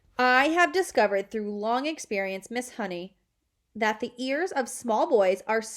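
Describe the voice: Lively intonation runs through this plain reading aloud over a quiet background.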